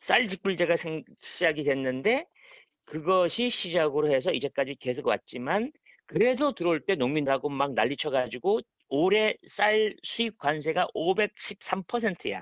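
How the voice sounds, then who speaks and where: Using lively intonation, a man talks at a high pitch with very even loudness. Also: moderate pace. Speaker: forestry association president, forest estate owner. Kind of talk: casual phone interview answer. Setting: phone line. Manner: fluent, articulate; relaxed, informal.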